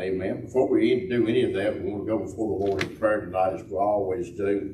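A man speaks at a fairly quick pace in a fairly low pitch with fairly even intonation. Light background noise and audible room echo are present. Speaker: host of a church teaching panel. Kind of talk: church announcements and prayer lead-in. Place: church. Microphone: camera far.

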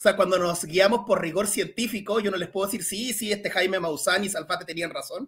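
Against a quiet background, a high-pitched man talks at a fairly quick pace with hardly any pauses and fairly even intonation. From Chile. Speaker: science communicator; guest. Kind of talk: Q&A talk; interview answer. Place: home room.

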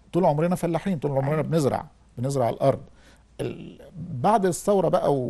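A man with a dark, mellow tone speaks at a fairly high pitch and a fairly quick pace. His pitch moves in an ordinary way against a quiet background. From Egypt. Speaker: historian and writer; guest. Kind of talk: TV interview. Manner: halting. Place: studio.

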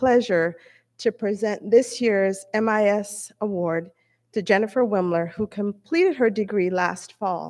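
Against a quiet background, a woman speaks at a fairly slow pace. Her pitch variation is ordinary. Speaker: presenter. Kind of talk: award presentation speech. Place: hall. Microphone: podium.

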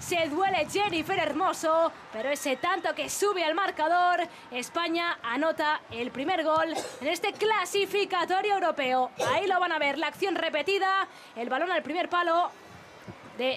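Over noticeable background noise, a woman talks in an extremely high pitch. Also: ordinary pitch variation. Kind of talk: football commentary. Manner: fast, excitable play-by-play, stretching out goal calls; rapid-fire, breathless delivery naming players and passes.

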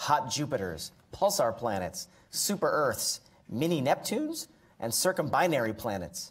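The speaker is a man. His voice has vocal fry. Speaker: event host introducing speaker. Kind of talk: formal introduction. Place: hall. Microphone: podium.

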